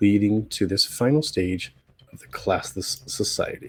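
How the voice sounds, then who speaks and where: This man's voice is somewhat breathy, captured in a very clean recording with a silent background. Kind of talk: commentary video talk to camera.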